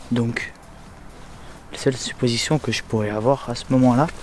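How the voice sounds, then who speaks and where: Music in the background beneath a man speaking at a moderate pace. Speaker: urban explorer vlogger. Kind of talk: casual vlog. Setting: outdoors. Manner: hesitant.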